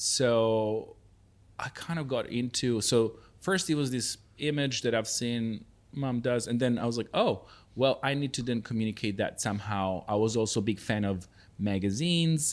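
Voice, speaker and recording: The recording is very clean, with a silent background. A man at medium pitch talks at a moderate pace with ordinary pitch variation. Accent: Serbian. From Serbia. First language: Serbian. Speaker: festival founder. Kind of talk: interview.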